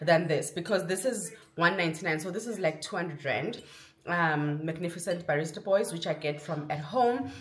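In a normal speaking voice, a woman talks at a fairly low pitch with ordinary pitch variation. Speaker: vlogger. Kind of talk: casual vlog chat. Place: kitchen.

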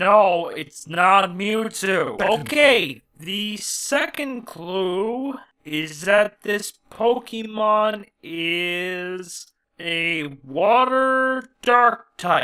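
A cartoonish character voice at a middle pitch, delivered at a very slow pace. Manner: exasperated, shouting.

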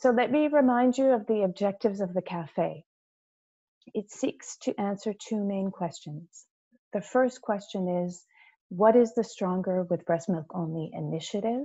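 A woman speaks at a very slow pace with ordinary pitch variation, against a quiet background. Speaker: webinar host. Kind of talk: webinar presentation. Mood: friendly, informal welcome. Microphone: video call.

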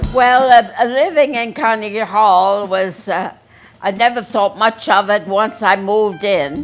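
A woman's fairly slow speech with ordinary pitch variation, faint music in the background. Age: 80s+. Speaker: photographer. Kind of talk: interview answer. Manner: hesitant, halting. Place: home room.

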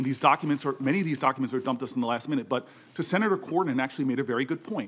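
A man talks with ordinary pitch variation. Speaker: senator at hearing. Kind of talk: formal impassioned statement. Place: hall. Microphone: podium.

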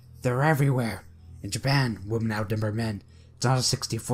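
A natural voice reading text aloud

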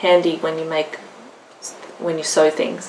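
Light background noise sits behind a woman with an Australian accent whose voice is fairly low in pitch. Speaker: craft vlogger. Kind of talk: casual show-and-tell vlog. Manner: chatty, animated. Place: home room. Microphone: phone near.

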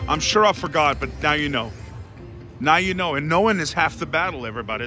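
A man talking at a fairly quick pace, with clear music in the background and a dry sound with no echo. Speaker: slot player vlogger. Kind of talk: casual gambling commentary. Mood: excited, playful. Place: hall. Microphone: phone near.

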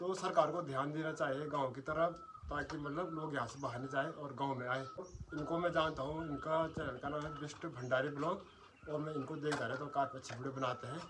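Over noticeable background noise, a man speaks at a moderate pace with hardly any pauses, a fairly high pitch and fairly even intonation. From Uttarakhand, Pauri Garhwal; Uttarakhand. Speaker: village vlogger. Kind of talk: casual chat. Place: home room.

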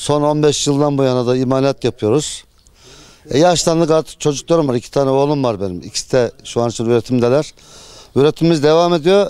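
Fairly high in pitch, this man has a dark, mellow tone and ordinary pitch variation. He talks at a fairly quick pace, with a dry sound and no echo. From Turkey, Eskişehir province. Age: 60s. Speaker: potter. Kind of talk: interview. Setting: outdoors. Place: market. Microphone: handheld.

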